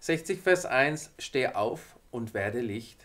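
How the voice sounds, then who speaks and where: The voice is a man's. Its pitch varies in an ordinary way. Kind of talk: devotional talk to viewers. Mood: warm, encouraging. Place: studio.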